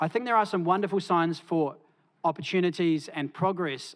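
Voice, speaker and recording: A man's fairly quick speech comes through a very clean recording against a silent background. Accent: New Zealand. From New Zealand. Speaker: academic panellist. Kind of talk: conference talk. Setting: conference stage with audience. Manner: hesitant with fillers.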